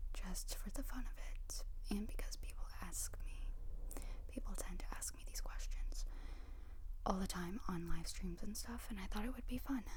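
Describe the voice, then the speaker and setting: Noticeable background noise underlies a whisper delivered at a moderate pace. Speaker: ASMR creator. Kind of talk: casual ASMR chat answering questions. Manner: whispered, soft-spoken.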